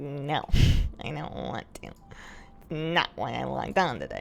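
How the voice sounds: Put-on character voice from a man, moderate in pace.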